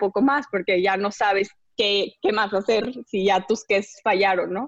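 The woman speaks at a fairly slow pace with a medium pitch. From Bolivia. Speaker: social entrepreneur. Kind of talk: casual interview.

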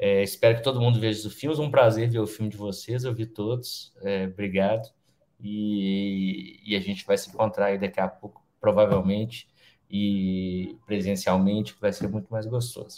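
Fairly low male voice at a moderate pace. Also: ordinary pitch variation. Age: 40s. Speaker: film director and screenwriter. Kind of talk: panel discussion. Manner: halting.

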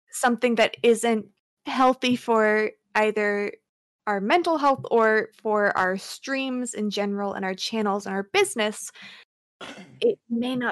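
A woman's plain, everyday voice, fairly high in pitch with ordinary pitch variation, at a fairly slow pace in a dry, close sound with no echo. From US, moved around (Virginia, Nevada, California). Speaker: streamer. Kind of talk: casual chat. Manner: soft-spoken.

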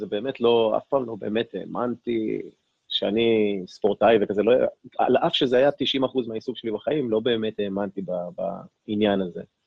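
Here a man with an unremarkable speaking voice talks at medium pitch and a moderate pace, using ordinary pitch variation. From Israel, Ashkelon. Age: 40s. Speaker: fitness coach and life coach. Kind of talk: interview conversation.

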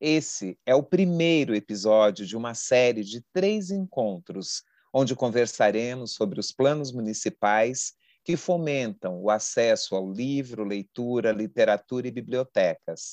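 An unremarkable speaking voice from a man, medium in pitch, fairly slow, with lively intonation, over a quiet background with a dry, close sound and no echo. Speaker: podcast co-host. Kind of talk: podcast interview.

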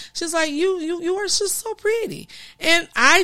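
A woman's raised, projected voice sounds animated, with a bright, sharp tone. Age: 40s. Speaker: transformation coach and podcast host. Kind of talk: solo podcast monologue. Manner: casual, with fillers and restarts.

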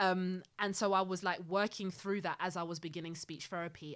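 A woman speaks at a fairly low pitch and a moderate pace. Her intonation is monotone and flat. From Zimbabwe. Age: 30s. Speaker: parent of child with speech delay. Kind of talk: casual chat.

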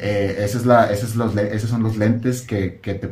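With a Mexican accent, a man talks in a fairly low, somewhat breathy voice with monotone, flat intonation, and the room echo is audible. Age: 20s. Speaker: content creator on spirituality. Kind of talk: casual chat.

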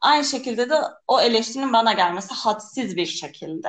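Speaking at a moderate pace, a woman uses a high-pitched voice. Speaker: podcast co-host discussing songs. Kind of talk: casual chat. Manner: animated, laughing often.

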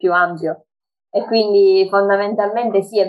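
The woman's voice sits at a medium pitch. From Sicily. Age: 20s. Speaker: social media page admin and dance teacher. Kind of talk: casual interview.

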